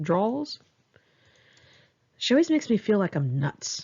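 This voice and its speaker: With an American accent, a woman talks at a medium speed. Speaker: memoir author. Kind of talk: reading aloud. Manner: one take, unpolished.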